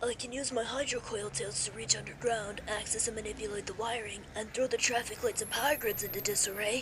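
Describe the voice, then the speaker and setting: A female-sounding voice performs a put-on character voice at a fairly high pitch and a fairly quick pace. Clear background noise is present. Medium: dub. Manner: hesitant, polite.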